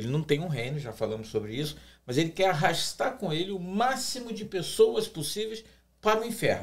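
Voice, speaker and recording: Moving at a moderate pace, this man lets his pitch swing very widely. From Brazil. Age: 60s. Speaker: pastor. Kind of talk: podcast discussion. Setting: studio table.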